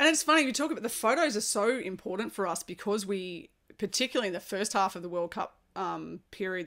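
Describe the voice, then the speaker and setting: A woman's medium-pitched voice at a very fast pace, with lively intonation. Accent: Australian. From Australia. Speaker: podcast host and former national baseball player. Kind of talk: podcast interview.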